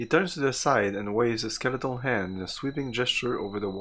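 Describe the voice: This is plain reading aloud, its pitch shifting by usual amounts.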